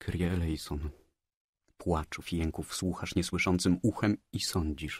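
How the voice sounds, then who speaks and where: In a very clean recording with a silent background, a man speaks at a very slow pace with a very deep, low pitch, a somewhat breathy quality, fairly even intonation and a solemn, dramatic tone. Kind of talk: literary audiobook reading of a poem. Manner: solemn, dramatic, slow declamation; grave, tragic, intoned like a prayer.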